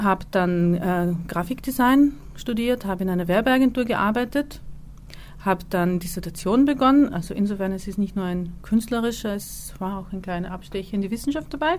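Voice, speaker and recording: A woman's lively intonation at a moderate pace. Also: medium pitch for a woman. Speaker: visual artist. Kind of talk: interview. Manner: halting.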